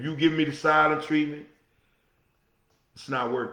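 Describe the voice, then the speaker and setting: Amid audible room echo, a man talks at a fairly quick pace and fairly high pitch in an animated tone. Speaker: podcast host. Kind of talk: solo talk show monologue. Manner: loud.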